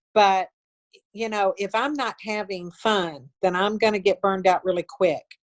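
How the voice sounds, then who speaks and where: At a moderate pace, a woman speaks in a medium pitch with ordinary pitch variation and a dry, close sound with no echo. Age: 60s. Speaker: network marketing leader. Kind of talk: interview. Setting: video call. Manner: animated.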